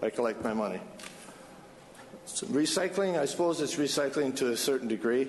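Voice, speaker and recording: The delivery keeps a moderate pace. Background noise can be noticeably heard. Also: man. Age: 70s. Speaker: applicant at city council. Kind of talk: public hearing testimony. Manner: halting, many fillers.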